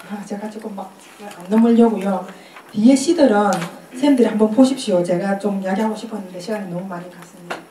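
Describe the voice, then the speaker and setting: A voice rushes along at a very fast pace with big swings in loudness, amid noticeable background noise and audible room echo. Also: woman, medium pitch for a woman, ordinary pitch variation. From Korea, Busan. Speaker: poet giving a lecture. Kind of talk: lecture.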